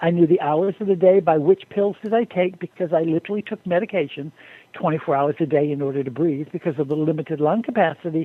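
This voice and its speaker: Talking at a very fast pace, a man uses a high pitch. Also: ordinary pitch variation. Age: 60s. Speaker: guest with a health recovery story. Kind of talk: testimony. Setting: phone call.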